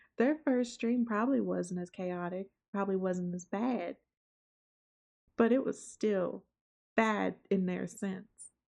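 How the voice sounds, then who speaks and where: Speaking with a Southern accent, a woman talks at a fairly slow pace and medium pitch with ordinary pitch variation and long, frequent pauses. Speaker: VTuber streamer. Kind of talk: casual vlog talk to viewers. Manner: laid back.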